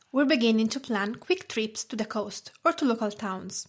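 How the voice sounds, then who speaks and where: With an Italian accent, a woman talks at a moderate pace, her fairly high voice moving in lively intonation. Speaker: food blogger and podcast host. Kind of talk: podcast talk.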